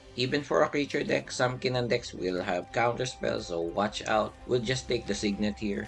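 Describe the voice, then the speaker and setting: Over music in the background, a man with a fairly low pitch and very wide pitch swings talks at a moderate pace with hardly any pauses. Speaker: card game content creator. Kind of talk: gameplay commentary.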